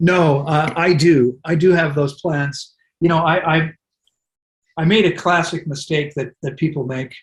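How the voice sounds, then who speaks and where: A man with an American accent talks in a normal speaking voice at a fairly slow pace. His pitch is fairly high and his intonation fairly even. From US. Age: 60s. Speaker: wellness center director. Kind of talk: interview.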